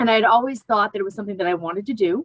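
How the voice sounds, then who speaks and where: A woman speaks with ordinary pitch variation. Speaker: yoga and meditation teacher. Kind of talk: interview. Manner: fast; halting, with many fillers and restarts.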